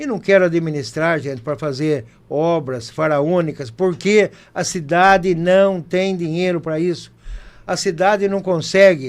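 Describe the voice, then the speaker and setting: At a fairly slow pace, a man talks in a high voice. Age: 60s. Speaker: mayoral candidate. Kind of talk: campaign closing statement. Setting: studio, live broadcast.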